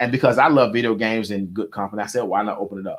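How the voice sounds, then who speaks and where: In an animated tone, a man talks at a very fast pace. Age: 40s. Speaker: entrepreneur. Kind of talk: interview.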